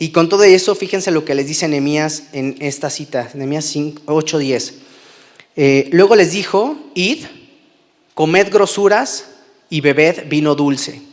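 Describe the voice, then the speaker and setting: In a normal speaking voice, a man talks at a fairly slow pace, fairly high in pitch, with ordinary pitch variation. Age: 30s. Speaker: preacher. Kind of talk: sermon.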